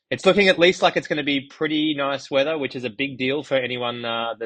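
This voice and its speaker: Talking at a very fast pace, a man with an Australian accent speaks at a medium pitch. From Australia, Gold Coast. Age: 30s. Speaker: runner and running media founder. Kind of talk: podcast interview.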